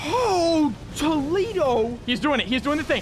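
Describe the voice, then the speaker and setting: Lively intonation from a man at a moderate pace, amid noticeable background noise and audible room echo. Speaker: gaming youtuber. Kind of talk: gameplay commentary with narration.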